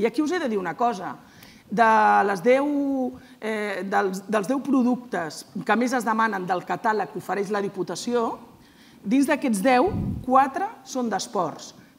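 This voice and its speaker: Lively intonation colors a woman's fairly high voice. She speaks very slowly. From Catalonia. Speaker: provincial sports councillor. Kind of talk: panel discussion. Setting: stage with audience. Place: stage.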